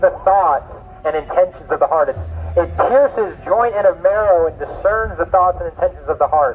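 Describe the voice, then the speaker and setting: Over faint background music, a man talks at a moderate pace. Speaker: street preacher. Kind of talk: sermon. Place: garden. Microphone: camera far.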